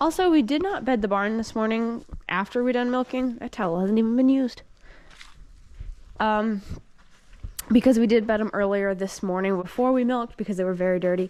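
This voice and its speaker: Speaking with a fairly high pitch, a woman keeps a fairly quick pace. Her ordinary pitch variation is broken by long, frequent pauses. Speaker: dairy farm worker and vlogger. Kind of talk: casual vlog narration. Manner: fast.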